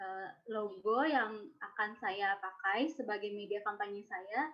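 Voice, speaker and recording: Very slowly, a woman speaks. Her pitch variation is ordinary. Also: medium pitch for a woman. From West Sumatra, Indonesia. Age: 20s. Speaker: social forestry innovator presenting an idea. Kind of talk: presentation.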